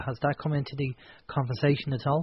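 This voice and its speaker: The speaker is a man. He has an Irish accent. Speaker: radio host. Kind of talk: radio talk show. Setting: studio.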